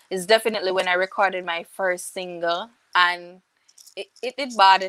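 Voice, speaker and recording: A woman's loudness swings widely while her intonation stays fairly even. Her tone is bright and sharp, and the sound is dry and close with no echo. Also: medium pitch for a woman, moderate pace. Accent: Jamaican. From Jamaica, St. Catherine. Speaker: reggae singer. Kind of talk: interview.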